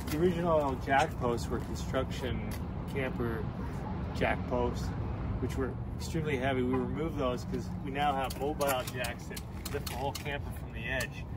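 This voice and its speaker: A man at a moderate pace over loud background noise, his voice dry with no echo. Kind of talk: casual walkthrough explanation. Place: street. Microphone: phone near.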